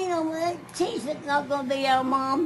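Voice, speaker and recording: A woman's high-pitched voice plays over background music. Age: 80s+. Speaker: grandmother recounting life story. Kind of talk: family interview answer.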